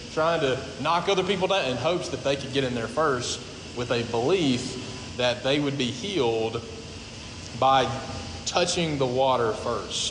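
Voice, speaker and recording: With lively intonation, a man talks at a moderate pace amid audible room echo and noticeable background noise. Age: 30s. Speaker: pastor. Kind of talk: sermon. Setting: church.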